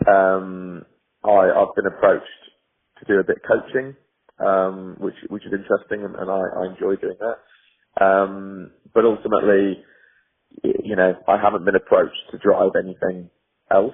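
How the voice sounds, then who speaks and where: A man speaks at a moderate pace with a North West England accent. His speech has long, frequent pauses. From Cheshire, England. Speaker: racing driver. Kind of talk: interview answer.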